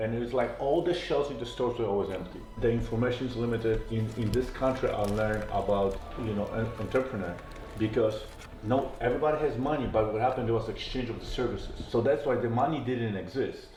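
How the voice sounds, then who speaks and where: Over music in the background and audible room echo, a man talks at a very fast pace with a medium pitch and fairly even intonation. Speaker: entrepreneur. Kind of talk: interview.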